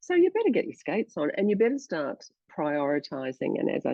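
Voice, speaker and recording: A woman with an Australian accent, medium pitch, very wide pitch swings and vocal fry, at a moderate pace. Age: 60s. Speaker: journalist and presenter. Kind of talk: casual chat.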